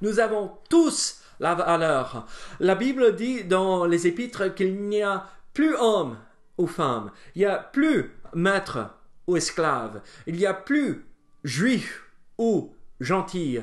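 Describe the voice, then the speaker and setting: A man with an American accent speaks at a very slow pace in a high pitch, his voice swinging very widely in pitch. He leaves long, frequent pauses. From United States. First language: English (speaking French). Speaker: pastor. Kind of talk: bible study teaching. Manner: hesitant, many fillers.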